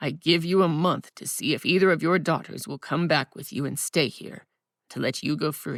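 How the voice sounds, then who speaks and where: A growling, put-on character voice speaks at a moderate pace and middle pitch. The recording is very clean, with a silent background. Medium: read story. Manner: stern, menacing.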